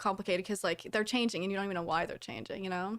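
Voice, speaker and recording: A woman with a Canadian accent has an ordinary speaking voice, medium pitch and fairly even intonation, on a very clean recording with a silent background. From Canada. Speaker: live streamer. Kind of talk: casual chat. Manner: casual, uses many fillers.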